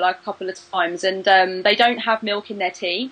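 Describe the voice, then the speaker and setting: A woman with a British accent. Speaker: tarot reader and video creator. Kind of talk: interview. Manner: fast; animated.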